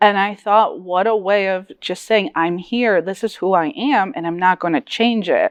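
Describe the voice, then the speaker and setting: A woman with a Connecticut accent at medium pitch and a moderate pace, ordinary pitch variation, hardly any pauses, a dry, close sound with no echo and a quiet background. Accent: American English, Connecticut. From New Britain, Connecticut; Polish diaspora. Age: 30s. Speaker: author. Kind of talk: panel discussion.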